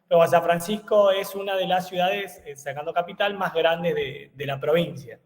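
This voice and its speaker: A man speaks in a high pitch with fairly even intonation, big swings in loudness and hardly any pauses. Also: moderate pace. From Argentina, eastern Córdoba province. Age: 30s. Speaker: engineer and university lecturer. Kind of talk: webinar lecture. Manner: hesitant, many fillers.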